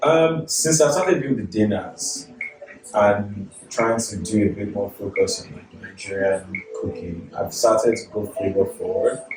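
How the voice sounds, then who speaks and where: A man's voice with big swings in loudness, music in the background. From Nigeria, moved to Canada at 13. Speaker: chef. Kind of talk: casual chat. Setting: at home.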